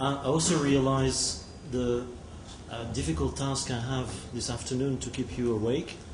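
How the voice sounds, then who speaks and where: A man with a French accent speaks at medium pitch, with ordinary pitch variation. Audible room echo and noticeable background noise are present. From France. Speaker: telecom technology executive. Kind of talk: conference presentation. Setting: conference hall with audience. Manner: halting, many fillers.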